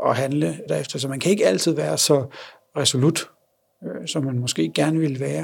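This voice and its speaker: The man talks at a moderate pace. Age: 30s. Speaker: blind father. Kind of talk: interview. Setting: on location.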